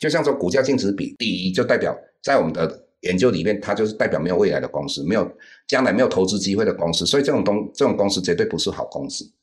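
A man talks very fast, and the background is quiet. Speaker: investment teacher. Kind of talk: interview. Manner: halting.

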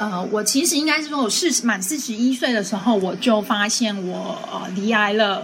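Over noticeable background noise and audible room echo, a woman with a fairly high pitch talks with lively intonation and hardly any pauses. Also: moderate pace. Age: 40s. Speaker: breast cancer survivor. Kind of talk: testimony.

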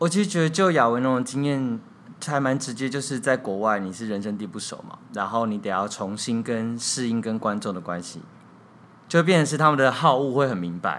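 Intonation here is lively, at a fairly quick pace. It is an ordinary speaking voice. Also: man, medium pitch for a man. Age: 30s. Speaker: theatre director and playwright. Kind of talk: interview.

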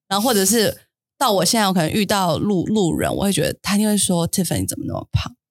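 A woman races along very fast, her pitch variation ordinary. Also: medium pitch for a woman. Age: 30s. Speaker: podcast co-host. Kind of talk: casual chat.

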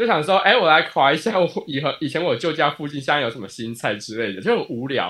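Very wide pitch swings in a man's fairly high-pitched speech. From Taiwan. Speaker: podcast co-host. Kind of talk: casual chat.

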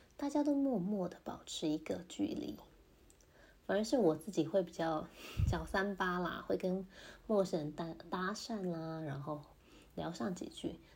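A woman speaks fairly slowly at a medium pitch, somewhat breathy. Her pitch swings very widely, and long pauses come often. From Taiwan. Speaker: podcaster, mother in intercultural marriage. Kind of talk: casual monologue.

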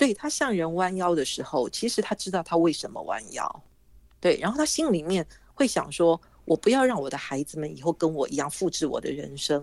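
Her pitch swings very widely around a fairly low register as this woman talks at a fairly quick pace. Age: 60s. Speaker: author and former journalist. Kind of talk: interview.

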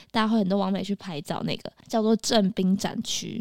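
At a moderate pace, an unremarkable speaking voice keeps going. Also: woman. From Taiwan, Taipei. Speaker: podcast co-host. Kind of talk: news reading; casual chat.

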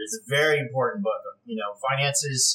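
A man talks in a bright, sharp tone. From California. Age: 40s. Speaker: real estate investor. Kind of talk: interview. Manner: hesitant, many fillers.

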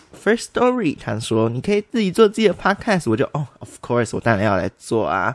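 Hardly pausing, a man with fairly high pitch and vocal fry speaks with very wide pitch swings. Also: fairly quick pace. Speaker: podcast host. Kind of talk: casual solo chat. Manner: animated. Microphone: new condenser microphone.

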